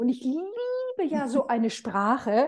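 Her voice is high for a woman, with a dark, mellow tone. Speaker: interviewer. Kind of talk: casual interview. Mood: warm, admiring. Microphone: video call.

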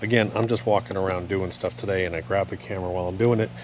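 A man talks at a very fast pace and a fairly low pitch, with a dry sound with no echo and noticeable background noise. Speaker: lawn care channel host. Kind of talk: casual vlog tutorial. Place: garden. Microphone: phone near.

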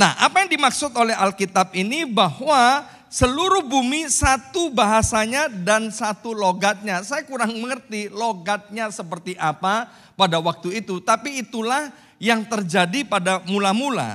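A man uses a raised, projected voice with a bright, sharp tone and a high pitch. His intonation is lively at a moderate pace, against a quiet background. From Indonesia. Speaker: pastor. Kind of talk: sermon. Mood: warm, joking at times. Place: church. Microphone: handheld.

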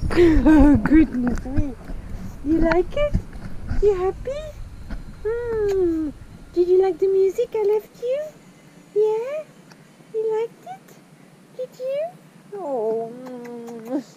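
Over noticeable background noise, a woman speaks at a very slow pace with long, frequent pauses in a dry sound with no echo. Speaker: sailing vlogger. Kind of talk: baby talk to a pet. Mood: affectionate, cooing. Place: boat. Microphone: phone near.

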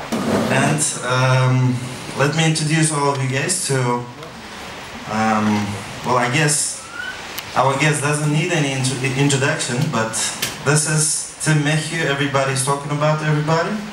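Someone with an Uzbek accent talks at a fairly slow pace, with audible room echo and noticeable background noise. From Uzbekistan. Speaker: event host. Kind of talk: event presentation. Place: hall.

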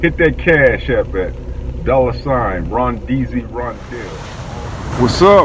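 A man speaks slowly at a medium pitch with lively intonation over clear background noise.

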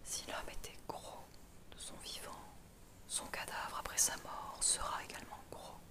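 Very slowly, a woman speaks in a whisper. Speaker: ASMR reader. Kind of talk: philosophy text reading. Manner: whispered.

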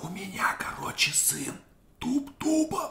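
A man whispering over noticeable background noise. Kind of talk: casual chat between friends over drinks, parody of ASMR. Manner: whispered.

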